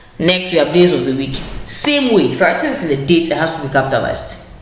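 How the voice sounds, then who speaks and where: A woman's fairly low voice amid audible room echo and noticeable background noise. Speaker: teacher. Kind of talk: lesson. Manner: fast.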